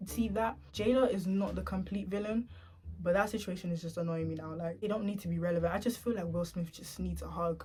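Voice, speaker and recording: A woman's quiet, fairly low voice with vocal fry, a dark, mellow tone, ordinary pitch variation and a fairly quick pace. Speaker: YouTuber. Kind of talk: casual storytime vlog. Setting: at home at night. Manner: quiet, speaking low.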